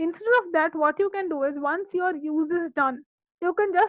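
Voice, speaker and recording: A woman's voice pitched extremely high. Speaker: instructor. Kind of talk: tutorial. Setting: video call. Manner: fast.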